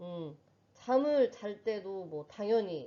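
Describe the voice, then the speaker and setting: A woman with a medium pitch and a dark, mellow tone. Her intonation is lively. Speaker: middle school home economics teacher. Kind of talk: online lecture. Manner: hesitant fillers.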